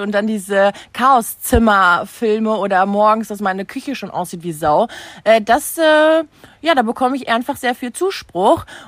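A woman's unremarkable speaking voice, fairly high in pitch, with lively intonation at a fairly slow pace on a very clean recording with a silent background. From Germany, Münster area (NRW). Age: 30s. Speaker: social media influencer and mother. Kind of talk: casual chat.

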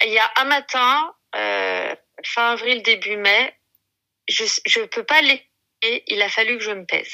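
This woman has a fairly high-pitched voice with a bright, sharp tone. The sound is dry and close, with no echo. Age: 40s. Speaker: mother of eight sharing weight-loss story. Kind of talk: testimony.

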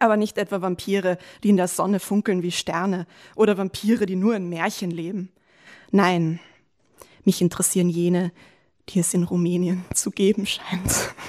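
In a very clean recording with a silent background, a woman speaks at medium pitch and a moderate pace in a monotone, flat intonation, with long, frequent pauses. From Lower Austria. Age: 20s. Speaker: diary writer, former slam participant. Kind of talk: reading aloud own diary entries; casual interview chat.

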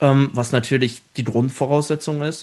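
In an ordinary speaking voice, a man speaks at a moderate pace and a fairly high pitch with fairly even intonation, over a quiet background. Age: 30s. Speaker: show writer and theme park entertainment director. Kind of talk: casual interview.

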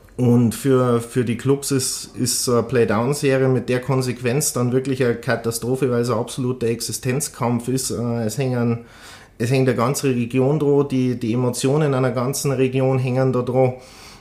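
A man with a medium pitch and a dark, mellow tone speaks at a moderate pace, his intonation monotone and flat and his loudness very even. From Bavaria, Rosenheim. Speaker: former ice hockey player and club manager. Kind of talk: podcast interview. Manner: hesitant with repetitions.

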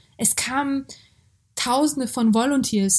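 At a fairly slow pace, a woman talks, her pitch moving with ordinary variation. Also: very clean recording, silent background. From Hungary and Germany (born in Georgia). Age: 20s. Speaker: activist, author and actress. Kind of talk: interview. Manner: halting, many fillers.

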